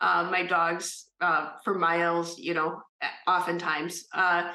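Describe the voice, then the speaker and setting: Very slowly and with monotone, flat intonation, a woman talks at a fairly low pitch in a slight Minnesota accent. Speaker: disease survivor. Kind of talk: testimony. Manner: hesitant, many fillers.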